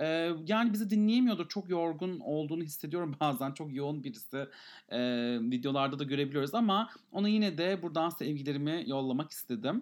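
In an ordinary speaking voice, a man talks at a fairly quick pace with a fairly high pitch. His intonation is lively. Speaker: podcast co-host. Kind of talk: casual chat.

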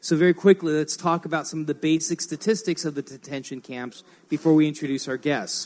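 This man has a normal speaking voice with a fairly high pitch. He speaks at a fairly quick pace with fairly even intonation. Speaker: radio host. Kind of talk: live radio show with audience. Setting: hotel venue with audience.

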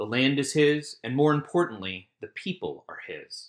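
On a very clean recording with a silent background, a man with an American accent and an unremarkable speaking voice talks at a moderate pace with ordinary pitch variation. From US South, Richmond, Virginia. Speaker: messianic rabbi. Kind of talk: scripted Torah commentary.

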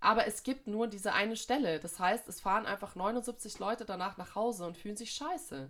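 Speaking at a moderate pace, a woman with an ordinary speaking voice and a fairly high pitch uses lively intonation and big swings in loudness. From Munich, Bavaria. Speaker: podcast co-host, jazz saxophonist. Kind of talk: casual chat.

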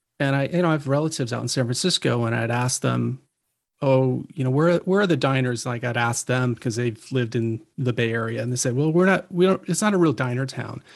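An ordinary speaking voice comes from a man with an American accent at a medium pitch. He talks at a fairly quick pace with ordinary pitch variation. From eastern Pennsylvania. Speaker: photographer. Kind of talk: casual chat.

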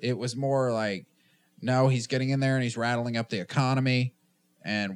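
A man with a Southern US accent talks at a moderate pace and medium pitch, in a dry, close sound with no echo and a very clean recording with a silent background. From US South, Tennessee. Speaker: podcast host. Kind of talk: casual chat.

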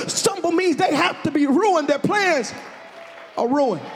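With crowd noise behind him, a man talks in an animated tone at an extremely high pitch, his pitch varying in an ordinary way. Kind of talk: sermon, preacher in full flow with call-and-response. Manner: animated, exhortative, loud, punctuating phrases with rhythmic 'huh' breaths; urging the congregation to shout and repeat lines aloud.

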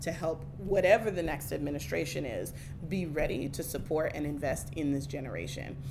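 A woman's very deep, low voice with audible room echo and noticeable background noise. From Oakland, California. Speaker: community organizer. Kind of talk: casual interview.

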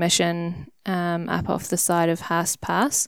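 Someone speaks at a very slow pace with a New Zealand accent, in a very clean recording with a silent background and a dry, close sound with no echo. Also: woman. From New Zealand, Wellington. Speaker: hunter and conservation worker. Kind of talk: casual interview chat.

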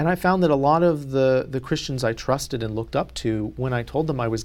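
A man with an American accent and medium pitch talks at a very fast pace. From US South, North Carolina. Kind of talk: interview.

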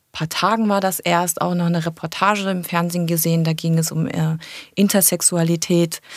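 A woman speaks in a fairly low pitch at a moderate pace. Her intonation is monotone and flat. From Germany, Cologne. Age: 30s. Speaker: tourism manager. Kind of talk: interview.

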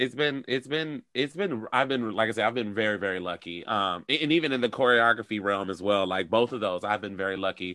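An ordinary speaking voice from a man with an American accent, fairly low in pitch with ordinary pitch variation, at a fairly quick pace with hardly any pauses. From Detroit, US. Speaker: choreographer and actor. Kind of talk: casual interview chat. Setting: video call.

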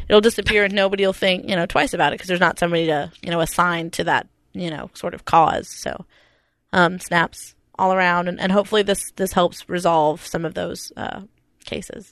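A woman with an American accent talks at a fairly quick pace in a fairly low pitch, her intonation fairly even. It is a plain, everyday voice, set against a quiet background. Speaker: podcast co-host. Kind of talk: casual chat.

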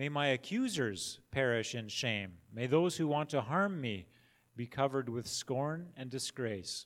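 In a very clean recording with a silent background, a man with a plain, everyday voice speaks at medium pitch and a fairly slow pace with lively intonation. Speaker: worship leader. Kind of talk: reading aloud. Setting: church.

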